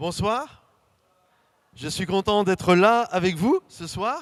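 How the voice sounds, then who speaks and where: Recorded very cleanly against a silent background, a man speaks very slowly in a dry, close sound with no echo. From Saint-Étienne region, France.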